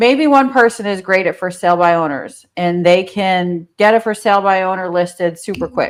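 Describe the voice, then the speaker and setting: Speaking with a New Jersey accent, a woman has a medium pitch and ordinary pitch variation. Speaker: real estate coach. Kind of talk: interview.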